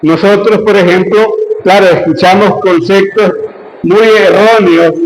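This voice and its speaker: A man with a Venezuelan Andean accent talks at a very slow pace, with ordinary pitch variation. Audible room echo and noticeable background noise surround his voice. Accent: Venezuelan Andean (gocho). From Venezuela, Andes region (gocho). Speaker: lecturer on gnosticism. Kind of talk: lecture.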